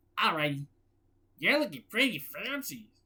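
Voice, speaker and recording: A woman puts on a character voice with a very deep, low pitch. She keeps a moderate pace. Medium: read story. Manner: cheerful, folksy.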